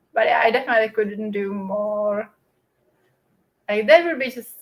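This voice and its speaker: Music plays in the background as a woman talks with a non-native accent. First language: not English. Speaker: book and productivity YouTuber. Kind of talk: casual livestream chat. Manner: hesitant, many fillers.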